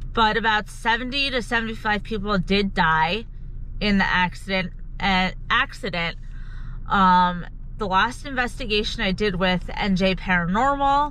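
Against light background noise, a woman speaks at a moderate pace with a bright, sharp tone and ordinary pitch variation. Her loudness stays very even, and the sound is dry with no echo. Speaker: paranormal vlogger. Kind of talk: casual vlog chat. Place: car. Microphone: phone near.

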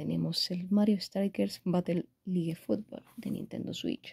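A woman's medium-pitched voice with a Spanish accent, dark and mellow in tone, somewhat breathy, fairly slow with hardly any pauses, against a quiet background. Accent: Spanish (Spain). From Spain. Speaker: gaming YouTuber. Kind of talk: unboxing video. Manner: animated. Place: home room. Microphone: phone near.

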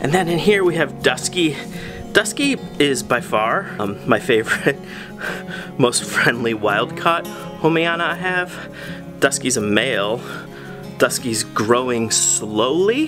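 A man at a fairly slow pace with long, frequent pauses, clear music in the background. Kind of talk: casual vlog chat. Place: home room. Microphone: phone near.

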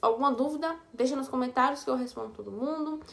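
A woman talking at a fairly quick pace. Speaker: fashion haul vlogger. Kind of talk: casual vlog chat. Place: home room. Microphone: phone near.

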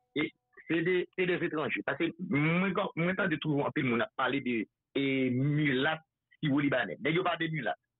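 A man with a Haitian accent speaks at a very slow pace, with ordinary pitch variation and very even loudness. The sound is dry with no echo against a quiet background. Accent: Haitian Creole. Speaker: political activist. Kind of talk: casual chat. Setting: phone call. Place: studio.

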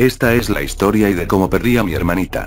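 An unremarkable speaking voice, moderately paced and carrying ordinary pitch variation. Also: man. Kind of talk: ghost story narration, creepypasta read aloud.

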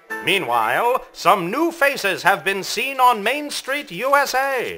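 Over music in the background, a man with an extremely high pitch uses a raised, projected voice, lively intonation and a fairly slow pace. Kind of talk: newsreel-style news report narration. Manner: polished, announcer-like delivery.

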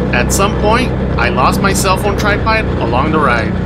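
A man talks while loud noise fills the background. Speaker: off-road vlogger. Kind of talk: narration for a ride vlog. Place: open country.

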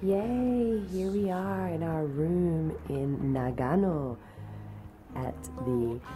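A woman is speaking with clear music in the background. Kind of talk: casual vlog chat. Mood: cheerful, excited. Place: home room. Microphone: phone near.

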